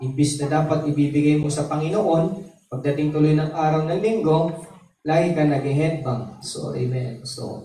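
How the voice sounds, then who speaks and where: Audible room echo surrounds a man speaking at a moderate pace in a fairly high pitch with fairly even intonation. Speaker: pastor. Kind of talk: sermon. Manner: softened volume, quieter at night.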